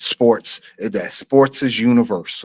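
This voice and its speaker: The voice, in a New York accent, has a dry, close sound with no echo. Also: man. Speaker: streamer, channel host. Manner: casual, conversational, lots of filler phrases.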